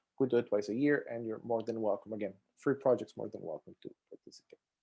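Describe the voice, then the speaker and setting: A man with a Costa Rican accent talks at a fairly quick pace in a dark, mellow tone against a quiet background. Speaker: software testing expert and conference speaker. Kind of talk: conference talk. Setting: video call.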